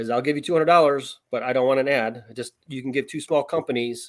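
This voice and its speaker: An ordinary speaking voice from a man, medium in pitch, fairly quick and fairly even in intonation. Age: 50s. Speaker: sports writer and high school journalism teacher. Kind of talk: casual chat.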